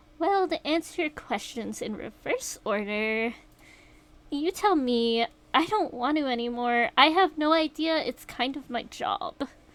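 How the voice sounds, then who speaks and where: A woman puts on a character voice at a high pitch. She keeps a moderate pace. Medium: game stream. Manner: sarcastic, mocking.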